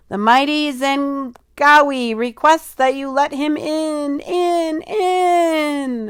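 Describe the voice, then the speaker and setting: A man uses a put-on character voice at an extremely high pitch. He speaks very slowly. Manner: grand.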